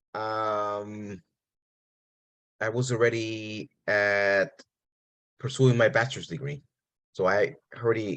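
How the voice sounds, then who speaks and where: A man is speaking. He has a Spanish accent. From New York City, Puerto Rican family. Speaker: professor. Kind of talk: interview.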